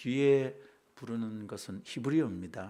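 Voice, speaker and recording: With a dark, mellow tone, a man speaks at a moderate pace and uses ordinary pitch variation. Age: 60s. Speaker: pastor. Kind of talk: sermon.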